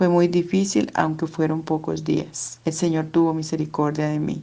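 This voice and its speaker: In an unremarkable speaking voice, a woman with a fairly low pitch talks at a fairly slow pace with fairly even intonation. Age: 60s. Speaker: church member giving testimony. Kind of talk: testimony. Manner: formal.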